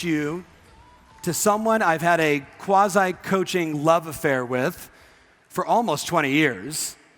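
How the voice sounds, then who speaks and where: Noticeable background noise is present. A man speaks at a fairly slow pace. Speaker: real estate coach. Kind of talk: on-stage interview at a live event. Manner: energetic, enthusiastic.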